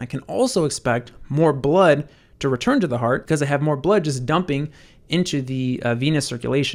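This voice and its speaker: A man speaks at a fairly quick pace with a fairly high pitch and ordinary pitch variation, in a very clean recording with a silent background. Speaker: medical educator. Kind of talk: lecture. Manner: fast.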